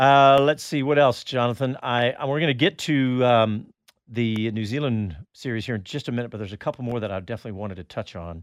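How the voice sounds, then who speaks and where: Speaking at a fairly quick pace with an American accent, a man uses an ordinary speaking voice of medium pitch, with ordinary pitch variation and big swings in loudness. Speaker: radio host. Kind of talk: radio show banter. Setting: live studio recording. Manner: chatty, upbeat.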